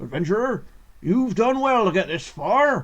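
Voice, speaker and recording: A man uses a put-on character voice pitched high. He speaks at a moderate pace. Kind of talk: grand, formal.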